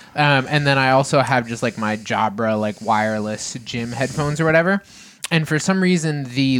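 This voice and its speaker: A man talks at a medium pitch with ordinary pitch variation in an unremarkable speaking voice. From Massachusetts. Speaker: podcast co-host. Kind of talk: casual chat.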